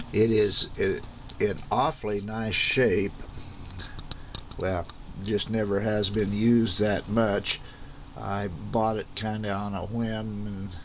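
Noticeable noise runs behind a man with a fairly low pitch. He talks very slowly in a flat monotone, with long, frequent pauses. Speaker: radio owner showing his gear. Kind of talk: casual show-and-tell. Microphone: phone near.

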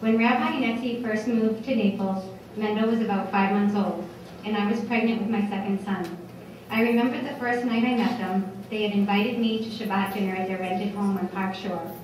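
A woman at a fairly quick pace with fairly even intonation, amid strong room echo and light background noise. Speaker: guest. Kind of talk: tribute speech. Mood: warm, smiling. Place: hall. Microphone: podium.

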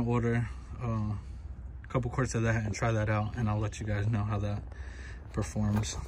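Faint noise can be heard in the background. A man speaks at neither a fast nor a slow pace. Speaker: vlogger doing car maintenance. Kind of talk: casual vlog chat. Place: street. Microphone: phone near.

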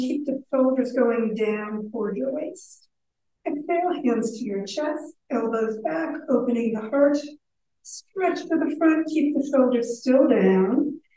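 Speaking at a fairly slow pace, a woman has a high-pitched voice with a dark, mellow tone and ordinary pitch variation. Light background noise and audible room echo are present. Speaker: yoga instructor. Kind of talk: guided exercise instruction. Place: hall. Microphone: camera far.

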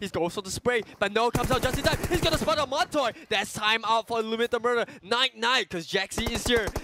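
The voice has an animated, excited tone and hardly any pauses. There is noticeable background noise. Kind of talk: esports commentary. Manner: animated, fast play-by-play delivery with excited exclamations; analytical, co-commentator style that recaps earlier action.

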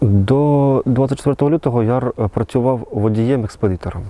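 A man's dark, mellow voice moves at a fairly quick pace with fairly even intonation. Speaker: soldier, war veteran. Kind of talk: interview testimony. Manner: halting, with false starts.

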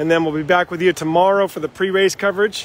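With light background noise and a dry, echo-free sound, a man talks at a fairly quick pace in a high voice. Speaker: live race announcer. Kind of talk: live race commentary. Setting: outdoors. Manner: animated; fast talker. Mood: cheerful, upbeat. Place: street. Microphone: phone near.

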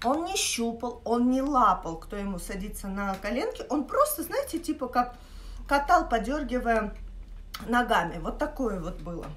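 The voice moves at a fairly slow pace, with big swings in loudness. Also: woman, high pitch for a woman. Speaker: vlogger. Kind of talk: casual vlog chat, storytelling. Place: kitchen. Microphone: phone near.

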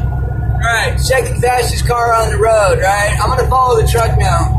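A man keeps a moderate pace while noticeable background noise fills the clip. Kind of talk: casual vlog chat. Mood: amused, suspicious of cops. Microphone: phone near.

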